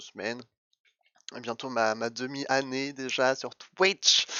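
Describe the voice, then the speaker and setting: A man speaks in a medium pitch. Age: 20s. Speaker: streamer. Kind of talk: casual self-introduction, testimony. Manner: hesitant, many fillers and repetitions.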